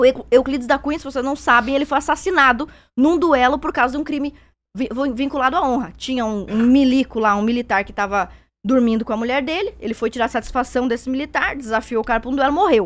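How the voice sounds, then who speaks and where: A woman's high-pitched voice at a very fast pace, ordinary pitch variation, on a very clean recording with a silent background. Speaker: debater. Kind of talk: heated debate.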